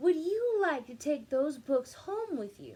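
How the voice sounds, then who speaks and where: A woman's high-pitched put-on character voice with very wide pitch swings, big swings in loudness and a fairly slow pace. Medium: read story.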